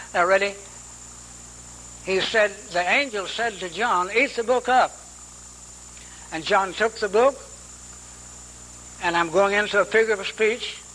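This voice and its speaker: A man uses a raised, projected voice at a high pitch, with fairly even intonation. Long, frequent pauses break his speech, and background noise is noticeable. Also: fairly slow pace. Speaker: Bible teacher. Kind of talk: sermon.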